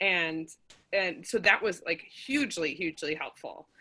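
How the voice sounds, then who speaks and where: A woman speaks with a strong Midwestern accent at a fairly slow pace and a fairly low pitch. Her tone is bright and sharp, on a very clean recording with a silent background. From Minnesota, US Midwest. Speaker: playwright. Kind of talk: casual chat.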